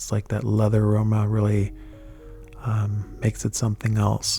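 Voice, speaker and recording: A soft-spoken man talks at a fairly low pitch and fairly slow pace. Music plays in the background. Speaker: fragrance reviewer. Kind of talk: ASMR product review.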